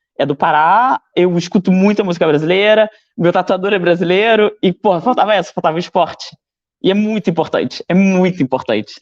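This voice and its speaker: A man speaks with a high pitch and ordinary pitch variation. His loudness stays very even. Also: fairly quick pace. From Brazil. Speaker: fitness student. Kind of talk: casual chat.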